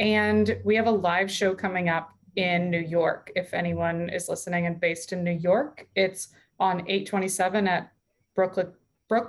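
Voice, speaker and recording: In an American accent, a woman with a normal speaking voice speaks at a medium pitch with fairly even intonation. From US West Coast (southern California). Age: 30s. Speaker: stand-up comedian. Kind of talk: casual chat.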